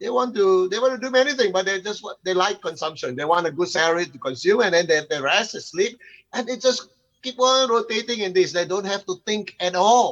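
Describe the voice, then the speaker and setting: Talking at a fairly quick pace, a man uses lively intonation with a high pitch. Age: 60s. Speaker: conference speaker, lecturer. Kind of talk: panel discussion. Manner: halting.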